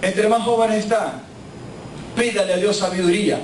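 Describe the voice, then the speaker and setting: At a fairly slow pace and with ordinary pitch variation, a man speaks amid noticeable background noise and audible room echo. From Honduras. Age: 50s. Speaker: pastor. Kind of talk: sermon.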